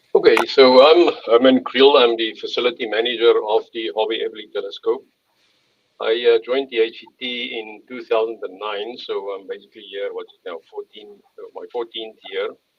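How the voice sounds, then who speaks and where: The speaker has a South African accent. Loudness swings widely from moment to moment. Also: man, moderate pace. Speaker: telescope facility manager. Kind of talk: panel discussion. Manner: halting with many fillers.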